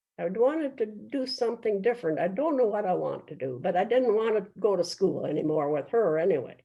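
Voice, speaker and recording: Speaking at a fairly quick pace, a woman with a fairly high pitch shows vocal fry and very wide pitch swings. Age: 80s+. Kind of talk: interview answer.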